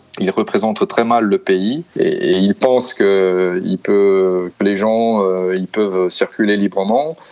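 A man's fairly low voice at a very slow pace, fairly even in intonation and very even in loudness, over noticeable background noise. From Brazil, São Paulo. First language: Portuguese (speaking French). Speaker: father living abroad. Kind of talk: interview testimony. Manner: halting, many hesitations.

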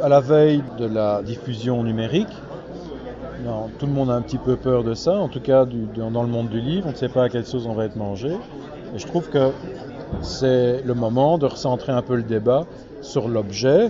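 A man's voice with long, frequent pauses and crowd noise in the background. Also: medium pitch for a man, ordinary pitch variation, moderate pace. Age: 60s. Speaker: comic book author and publisher. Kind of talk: interview. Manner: hesitant with repetitions.

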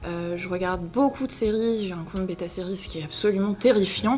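A woman speaks at a medium pitch with ordinary pitch variation. Audible room echo and noticeable background noise fill the recording. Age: 20s. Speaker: online video creator and actor. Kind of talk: interview. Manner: hesitant, many filler words.

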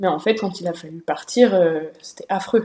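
This is a woman speaking. She has an ordinary speaking voice. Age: 20s. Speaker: podcast host. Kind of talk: casual chat.

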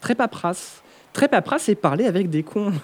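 His pitch shows ordinary variation. The man keeps a fairly quick pace. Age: 30s. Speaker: media content creator. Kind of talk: casual chat. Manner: halting.

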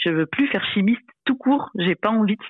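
With lively intonation, a woman delivers her words at a fairly quick pace. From Réunion. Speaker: former chemist in career change. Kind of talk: interview testimony. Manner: halting, many hesitations.

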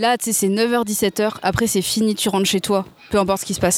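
A woman speaks at a fairly quick pace in a medium pitch with fairly even intonation, in an unremarkable speaking voice. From France, Seine-et-Marne. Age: 20s. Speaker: speech therapist. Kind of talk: casual interview chat.

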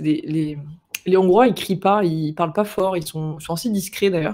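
Ordinary pitch variation in a man's voice pitched high. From France, Marseille. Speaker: guest talking about living abroad. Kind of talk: interview conversation.

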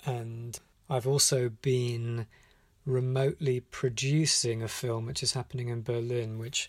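A man with a British accent speaks at a medium pitch in a somewhat breathy voice. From UK. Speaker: animation director. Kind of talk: voicemail message. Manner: hesitant, with many fillers.

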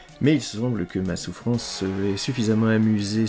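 A man's voice with music in the background. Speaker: podcast host, film critic. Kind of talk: scripted narration. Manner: ironic.

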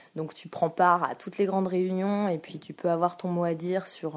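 Her voice sits fairly low for a woman, and she talks fairly quickly. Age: 20s. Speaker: school counsellor (CPE). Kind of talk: interview. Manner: halting, with fillers.

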